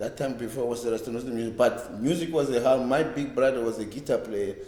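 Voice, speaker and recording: Audible room echo surrounds a man's dark, mellow tone. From South Africa, Cape Town townships. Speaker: reggae bass player. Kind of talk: oral history interview. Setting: library. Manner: halting, with repetitions.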